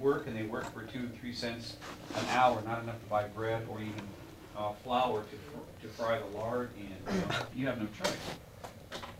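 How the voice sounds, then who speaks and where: A man speaks at a moderate pace with ordinary pitch variation over noticeable background noise. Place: classroom. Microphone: old recording.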